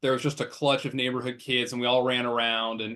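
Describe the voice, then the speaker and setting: Speaking fairly quickly, a man with a Midwestern US accent talks at a medium pitch. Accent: US Midwest. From Nebraska, Omaha. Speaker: political candidate, lawyer. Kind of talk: interview. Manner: fast.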